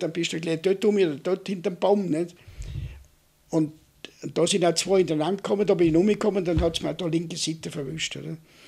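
A man's high-pitched voice with ordinary pitch variation over a quiet background. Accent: Vorarlberg. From Austria, Vorarlberg. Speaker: war veteran. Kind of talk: oral history interview. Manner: halting, with repeated filler tags. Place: home room. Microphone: studio mic.

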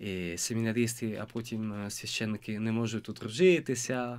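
A man with an Italian accent against a quiet background. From Italy. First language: Italian (speaking Ukrainian). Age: 20s. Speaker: seminarian; interview guest. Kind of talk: interview; interview answer. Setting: studio. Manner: halting. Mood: warm, smiling. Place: studio. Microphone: studio mic.

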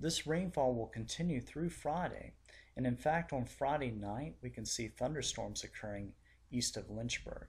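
At a moderate pace, a man speaks with vocal fry at a medium pitch and with ordinary pitch variation. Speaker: weather forecaster. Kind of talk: scripted weather forecast report. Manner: measured, formal newscaster-style delivery reading data.

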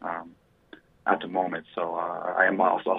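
Speaking with an American accent, this man's voice sits at a very deep, low pitch. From Flagstaff, Arizona. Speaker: Native community activist. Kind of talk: radio interview. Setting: phone call. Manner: halting, many fillers.

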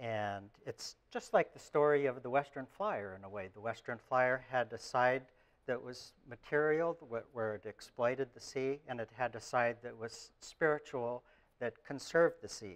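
A man speaks at a moderate pace with ordinary pitch variation and big swings in loudness. The background is quiet. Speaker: lecturer. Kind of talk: lecture. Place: classroom. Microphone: lapel.

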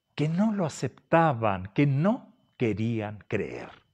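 Against a quiet background, a man with a fairly high pitch talks at a very slow pace with lively intonation. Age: 60s. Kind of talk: sermon. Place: home room.

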